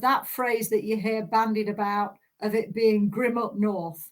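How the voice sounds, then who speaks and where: Her pitch sits fairly high. The woman speaks with a Yorkshire accent. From south Yorkshire, England (Doncaster). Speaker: manufacturing policy director, keynote speaker. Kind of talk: keynote speech. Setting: virtual conference.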